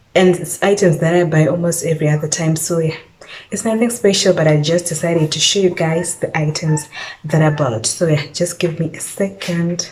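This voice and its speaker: A woman speaks at a moderate pace with a fairly low pitch and fairly even intonation, over noticeable background noise. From Zimbabwe. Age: 20s. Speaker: lifestyle vlogger. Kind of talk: casual vlog talk to camera.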